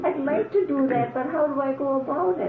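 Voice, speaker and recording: Female speech at a moderate pace amid audible room echo and noticeable background noise. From Upper Peninsula of Michigan, US. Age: 80s+. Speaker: elderly mother interviewed by her son. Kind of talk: oral history interview.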